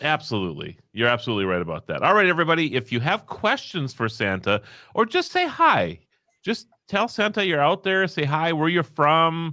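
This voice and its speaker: With a slight Upper Midwest accent, a man speaks fairly quickly in a bright, sharp tone at a fairly high pitch, his pitch swinging very widely over a very clean recording with a silent background. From North Dakota. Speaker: live stream host. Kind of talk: casual chat.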